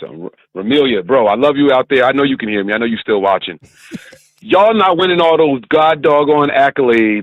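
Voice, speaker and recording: A very fast male voice, fairly high, with very wide pitch swings over music in the background. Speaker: caller. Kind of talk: casual, colloquial. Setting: phone. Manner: animated, joking.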